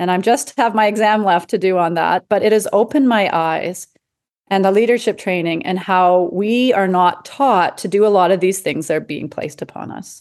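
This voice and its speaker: A woman with a Western Canadian accent speaks at a moderate pace and medium pitch, with ordinary pitch variation against a quiet background. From Canada, Edmonton, Alberta. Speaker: palliative care doctor and coach. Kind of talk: interview conversation.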